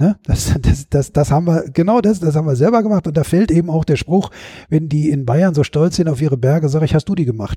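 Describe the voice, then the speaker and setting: Talking at a very fast pace, a man with a fairly high-pitched voice is heard in a dry, close sound with no echo. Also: ordinary pitch variation, very even loudness. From Ruhr area, Bochum. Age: 50s. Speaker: author and stage performer. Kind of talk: casual interview. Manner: hesitant, many fillers.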